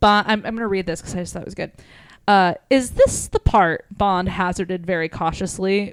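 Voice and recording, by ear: Someone is reading aloud in a natural voice. Pitch variation is ordinary.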